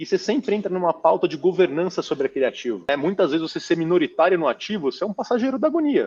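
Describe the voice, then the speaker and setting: A man's high-pitched voice at a very fast pace, with very wide pitch swings. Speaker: real estate fund manager. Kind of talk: interview. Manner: animated.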